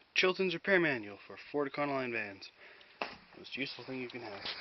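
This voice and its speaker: A man's fairly quick, lively-intoned speech over noticeable background noise. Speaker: hobby mechanic vlogger. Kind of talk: casual vlog while repairing engine. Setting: outdoors in cold winter. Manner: casual, mumbling to himself.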